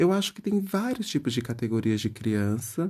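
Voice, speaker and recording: His fairly high voice swings very widely in pitch, and this man sounds somewhat breathy. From Bahia countryside, Brazil. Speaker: podcast host. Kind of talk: comedic solo monologue.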